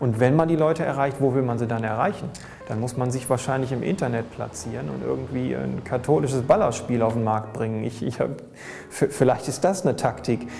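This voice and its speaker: A man at medium pitch with ordinary pitch variation and a fairly quick pace, over noticeable background noise. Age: 30s. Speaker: graffiti artist. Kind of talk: interview. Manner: halting.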